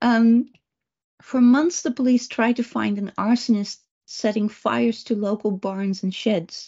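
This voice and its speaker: A somewhat breathy woman with a Dutch accent, fairly high pitch, ordinary pitch variation and a moderate pace. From Netherlands. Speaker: remote viewer and psychic trainer. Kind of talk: presentation talk. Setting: video call.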